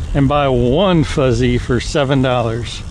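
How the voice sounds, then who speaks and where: Speech moves at a fairly slow pace. The sound is dry with no echo, over light background noise. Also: man. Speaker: vlogger. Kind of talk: casual vlog chat. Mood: relaxed, mildly wry. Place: bicycle.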